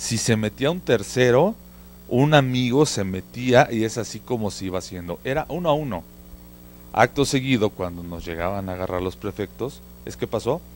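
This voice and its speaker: A man speaks at a moderate pace with lively intonation. Light background noise can be heard. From Mexico City. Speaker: market research consultant; guest. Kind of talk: casual chat. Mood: relaxed, reminiscing. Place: studio. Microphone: handheld.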